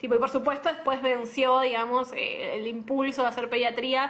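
Speaking in a Rioplatense accent, a woman talks at a moderate pace with a high pitch. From Argentina, La Matanza (Buenos Aires). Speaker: pediatrician. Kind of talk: casual interview. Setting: Instagram live video call.

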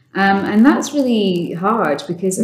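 A woman with an ordinary speaking voice, medium in pitch, at a moderate pace. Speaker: sales director. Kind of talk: casual interview chat.

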